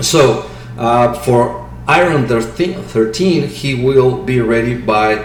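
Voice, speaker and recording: A man speaks at a medium pitch in a strong Mexican accent, with audible room echo and noticeable background noise. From Mexico City. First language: Spanish. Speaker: crypto market analyst. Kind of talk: technical analysis commentary. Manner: halting.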